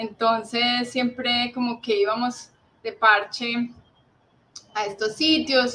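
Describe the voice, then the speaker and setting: A woman speaks at a very slow pace with long, frequent pauses. Her pitch is high, and her intonation is fairly even. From Colombia, Cali. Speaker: bird conservationist. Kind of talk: interview.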